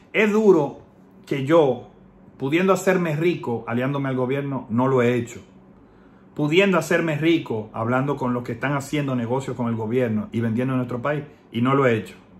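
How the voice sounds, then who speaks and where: Ordinary pitch variation comes through amid audible room echo. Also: man, medium pitch for a man, moderate pace. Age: 30s. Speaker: political commentator, online activist. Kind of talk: personal video message.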